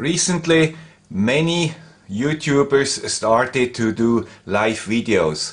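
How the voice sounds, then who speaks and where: The speech comes with a Swiss accent. Its pace is very slow. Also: man, medium pitch for a man. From Switzerland. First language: Swiss German. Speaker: electronics tech YouTuber. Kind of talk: tutorial.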